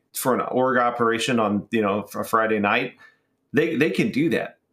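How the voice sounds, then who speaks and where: Heard in a normal speaking voice, the speech keeps a moderate pace and ordinary pitch variation. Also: man. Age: 30s. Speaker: YouTube gaming content creator. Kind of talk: casual chat.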